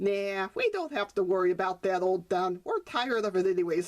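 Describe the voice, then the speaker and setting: A woman speaks in a put-on character voice. Her pitch sits in the medium range, and her pace is fairly quick. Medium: read story.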